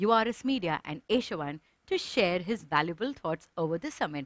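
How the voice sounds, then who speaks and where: A woman at a moderate pace with very wide pitch swings, dry sound with no echo and a quiet background. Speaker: event host. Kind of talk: ceremony hosting. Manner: formal. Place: studio.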